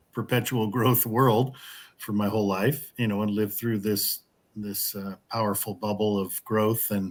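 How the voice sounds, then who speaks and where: Very clean and silent in the background, the recording has a man speaking at a moderate pace. His voice is fairly low and his intonation monotone and flat. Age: 60s. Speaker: co-host of an online collapse support group. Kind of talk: interview. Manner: halting, many repetitions.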